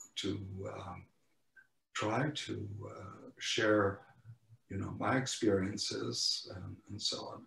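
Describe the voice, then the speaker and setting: A man speaks at a very slow pace with a fairly low pitch, ordinary pitch variation, vocal fry, a bright, sharp tone, big swings in loudness, and long, frequent pauses. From Poland. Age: 80s+. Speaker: Holocaust survivor speaker. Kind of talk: testimony. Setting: video call. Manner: halting.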